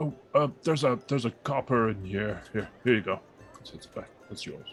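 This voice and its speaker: Music plays in the background as a man puts on a character voice. His pitch is medium with ordinary variation, and his pace is moderate. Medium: actual play. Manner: hesitant, repeats words when nervous.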